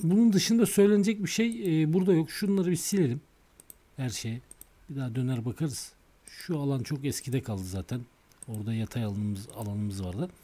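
Somewhat breathy and dark, mellow in tone, a man speaks at a fairly quick pace with a fairly high pitch and very wide pitch swings. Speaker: stock market technical analyst. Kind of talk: tutorial. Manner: halting.

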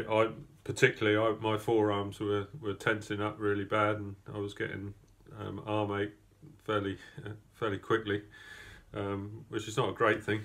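The man's pitch sits fairly low. He talks at a moderate pace in a flat monotone. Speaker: rower giving a race report. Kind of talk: casual spoken report. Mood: relaxed, reflective, some laughs. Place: home room. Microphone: phone near.

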